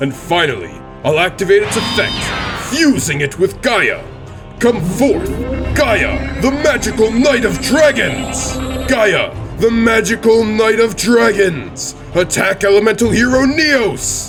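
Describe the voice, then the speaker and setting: Clear music runs in the background as a man puts on a character voice. He speaks fairly slowly at a high pitch. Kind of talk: scripted card game duel. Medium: dub. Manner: commanding, composed.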